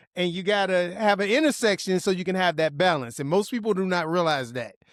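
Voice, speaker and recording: On a very clean recording with a silent background, a man speaks at a very fast pace, with a high pitch and lively intonation. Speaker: podcast host. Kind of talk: podcast interview talk.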